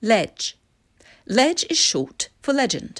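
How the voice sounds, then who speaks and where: A woman with a Received Pronunciation accent speaks at a fairly high pitch, her voice making very wide pitch swings. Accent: British Received Pronunciation. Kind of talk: educational vocabulary explanation.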